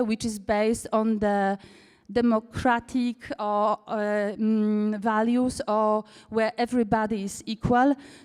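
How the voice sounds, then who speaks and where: A woman speaks at a fairly slow pace in a Polish accent, her intonation monotone and flat. The recording is very clean, with a silent background. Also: dry, close sound with no echo. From Poland. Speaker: cooperative founder and managing director. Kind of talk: conference talk. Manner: halting, many fillers.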